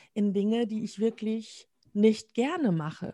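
In a dry, close recording with no echo, a woman with a dark, mellow, somewhat breathy voice of medium pitch speaks very slowly with ordinary pitch variation. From Münsterland, western Germany. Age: 50s. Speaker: communication trainer and coach. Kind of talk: interview conversation. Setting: video call. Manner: frequent laughter.

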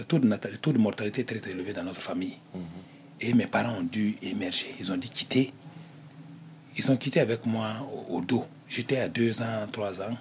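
At a fairly slow pace, a man speaks in a medium-pitched voice. His pitch varies in an ordinary way. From Burkina Faso, Sourou province. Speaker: retiree interviewed about his life. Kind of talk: interview, life story. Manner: halting, many repetitions.

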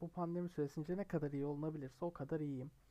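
This man's voice sits at a high pitch. Its tone is dark and mellow. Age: 20s. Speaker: football podcaster, university student. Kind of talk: solo casual podcast monologue.

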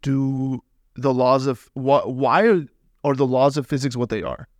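A man with a plain, everyday voice speaks at a moderate pace and a fairly high pitch, with an American accent. The recording is very clean with a silent background, and the sound is dry and close with no echo. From Los Angeles. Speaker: veterinary student. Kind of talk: casual chat.

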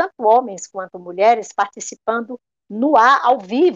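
Talking fairly slowly, a woman uses a normal speaking voice with lively intonation and a fairly high pitch. The sound is dry and close, without echo. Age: 60s. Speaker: radio broadcaster. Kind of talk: interview.

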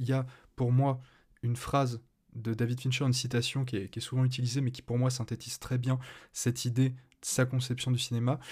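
On a very clean recording with a silent background, a man speaks very fast in a medium pitch, monotone and flat, sounding somewhat breathy. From France. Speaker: podcast host. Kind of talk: casual chat. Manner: halting.

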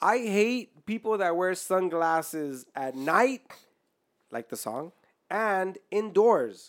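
Very slow speech on a very clean recording with a silent background. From Mexican heritage. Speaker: podcast host. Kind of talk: casual chat.

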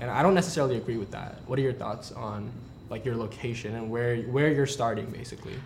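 Amid noticeable background noise, a man talks at a very fast pace in a medium pitch with ordinary pitch variation. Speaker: podcast host. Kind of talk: casual interview.

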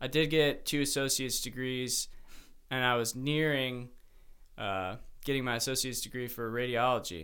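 This man talks at a moderate pace with long, frequent pauses, his medium-pitched voice bright and sharp in tone. He has a Midwestern American accent and fairly even intonation. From US Midwest (Ohio, Cleveland east suburbs). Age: 20s. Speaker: podcast co-host, studio co-founder. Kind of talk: casual chat. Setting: studio.

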